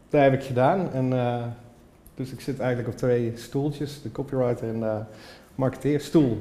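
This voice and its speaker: A man talks in a dark, mellow tone that is somewhat breathy, with fairly even intonation. His loudness swings widely, and he leaves long, frequent pauses. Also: medium pitch for a man, moderate pace. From Limburg, Netherlands (Horst). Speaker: copywriter and band musician. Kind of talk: casual chat.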